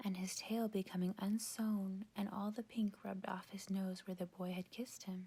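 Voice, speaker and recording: This soft-spoken voice has a gentle tone and moves at a moderate pace. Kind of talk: softly spoken bedtime story reading, ASMR. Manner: soft-spoken, gentle.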